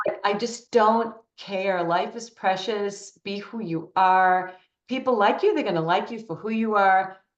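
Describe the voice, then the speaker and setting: A woman's ordinary speaking voice at a medium pitch, fairly slow and fairly even in intonation, with big swings in loudness. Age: 60s. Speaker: interviewee, women's empowerment speaker. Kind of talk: interview.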